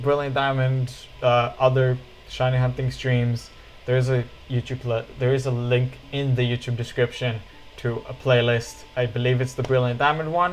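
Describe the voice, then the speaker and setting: A man of medium pitch at a fairly slow pace, with noticeable background noise. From Israel. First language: Hebrew. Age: 20s. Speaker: streamer. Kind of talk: casual chat.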